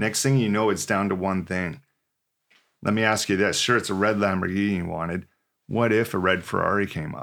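In a Canadian accent, a man with an unremarkable speaking voice talks at a fairly quick pace and fairly low pitch with fairly even intonation, on a very clean recording with a silent background. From British Columbia, Canada (Port Alberni). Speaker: professional drummer and motivational speaker. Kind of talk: casual interview.

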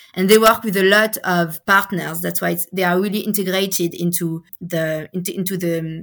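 A woman speaks with a French accent at a moderate pace, her fairly low pitch kept in fairly even intonation. The recording is very clean, with a silent background. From France, Paris. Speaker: education researcher. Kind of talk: interview. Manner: halting.

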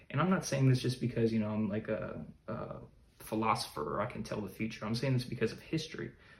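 Somewhat breathy and quite lively in intonation, this speaker talks at a very fast pace in an American accent. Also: man, medium pitch for a man. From US, Chicago. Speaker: podcaster, current affairs commentator. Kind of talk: solo podcast monologue. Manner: halting, many fillers.

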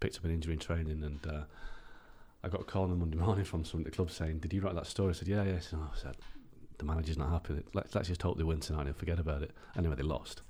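Very fast, somewhat breathy speech with an English accent and fairly even intonation. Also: man, very deep, low pitch for a man. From England. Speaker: football journalist. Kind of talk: casual interview.

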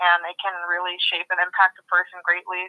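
A woman's medium-pitched voice at a moderate pace. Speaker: student. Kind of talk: casual chat. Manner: halting.

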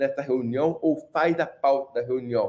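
Using a plain, everyday voice, a man talks at a moderate pace with a fairly high pitch and ordinary pitch variation. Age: 30s. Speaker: mechanical engineer and accessibility entrepreneur. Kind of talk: casual chat.

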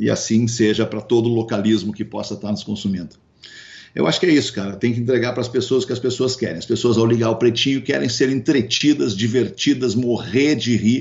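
Speaking at a medium pitch with ordinary pitch variation, a man keeps a fairly quick pace. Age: 50s. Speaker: radio broadcaster and entrepreneur. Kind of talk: interview. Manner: hesitant with frequent repetitions.

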